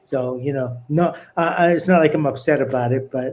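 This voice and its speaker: A man with an ordinary speaking voice, fairly high pitch, fairly even intonation, and moderate pace. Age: 60s. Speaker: former professional boxer and fitness trainer. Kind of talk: podcast interview.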